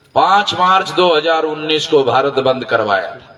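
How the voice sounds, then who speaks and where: Lively intonation from a man, set against noticeable background noise. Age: 60s. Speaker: social movement leader. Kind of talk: political rally speech. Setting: public rally with audience. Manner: forceful, emphatic.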